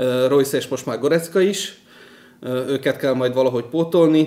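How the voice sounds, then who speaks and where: This man has an unremarkable speaking voice, pitched fairly high. He talks at a moderate pace with fairly even intonation. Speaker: football podcast host. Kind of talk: casual chat.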